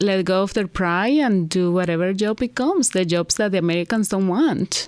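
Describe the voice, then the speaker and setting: On a very clean recording with a silent background, a woman speaks with a Venezuelan accent. Her pitch is medium, her pace moderate and her pitch variation ordinary. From Venezuela, Caracas. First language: Spanish. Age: 50s. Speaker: hair stylist, immigrant interviewee. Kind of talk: interview. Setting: studio.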